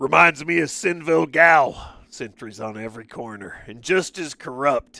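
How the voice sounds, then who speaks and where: A man does a put-on character voice, raspy and fairly high in pitch, with lively intonation. He keeps a moderate pace with hardly any pauses. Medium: game stream. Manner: blunt, gruff.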